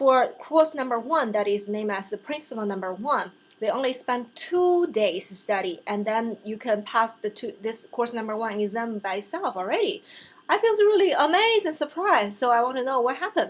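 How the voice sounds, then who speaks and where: Talking at a fairly quick pace, a woman with a Chinese accent has a high pitch. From China. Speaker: vlogger and real estate license student. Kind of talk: casual vlog talk to camera. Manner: halting, with fillers and self-corrections.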